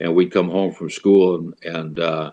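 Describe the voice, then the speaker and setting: In a western Canadian accent, a man speaks at a moderate pace with a very deep, low pitch and monotone, flat intonation. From Canada, Alberta. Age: 70s. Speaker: blues musician and painter. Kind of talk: casual chat. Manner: halting.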